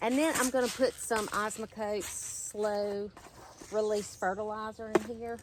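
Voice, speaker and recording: A woman with a Southern US accent speaks at a fairly slow pace in a fairly high voice, her intonation fairly even, with noticeable background noise behind her. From Mississippi, US South. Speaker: gardening YouTuber. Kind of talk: casual vlog tutorial. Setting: outdoors in garden. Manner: chatty, conversational.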